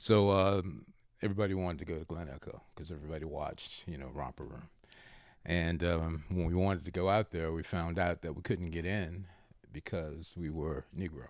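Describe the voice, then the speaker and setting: In a very clean recording with a silent background, a man with a very deep, low pitch and vocal fry talks at a moderate pace with fairly even intonation. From Baltimore, Maryland, US. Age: 70s. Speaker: retired father of the host. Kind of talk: casual interview. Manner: frequent filler uh pauses.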